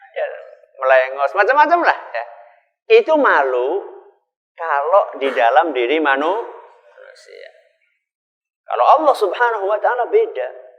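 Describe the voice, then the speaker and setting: This man talks at a moderate pace. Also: long, frequent pauses. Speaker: Islamic preacher, ustadz. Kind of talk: Islamic sermon to a live audience.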